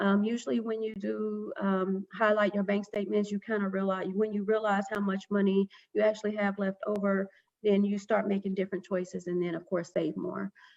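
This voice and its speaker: A woman speaks at a fairly quick pace in a monotone, flat intonation. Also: medium pitch for a woman. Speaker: financial educator presenter. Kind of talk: presentation. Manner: fast.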